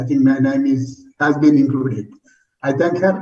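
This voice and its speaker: Audible room echo is heard on this recording. A man speaks through it at a moderate pace. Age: 70s. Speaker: retired geologist, transplant recipient. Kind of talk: testimony.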